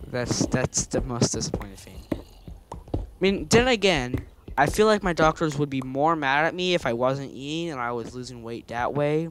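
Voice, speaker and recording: A man's fairly high voice at a moderate pace, lively in intonation, with big swings in loudness over noticeable background noise. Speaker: gamer playing with friends. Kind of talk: casual gaming chat.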